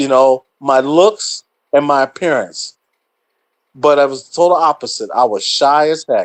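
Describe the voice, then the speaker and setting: A man speaks in a plain, everyday voice at a fairly slow pace, with a fairly high pitch and fairly even intonation. The sound is dry and close with no echo. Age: 60s. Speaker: podcast host and musician. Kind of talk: casual chat. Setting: livestream.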